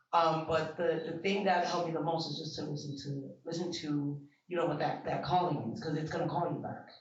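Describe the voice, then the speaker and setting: With an American accent and audible room echo, a man speaks at a fairly quick pace in a fairly high pitch with monotone, flat intonation. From Bronx, New York. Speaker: event attendee interviewee. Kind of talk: casual interview. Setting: art exhibition event.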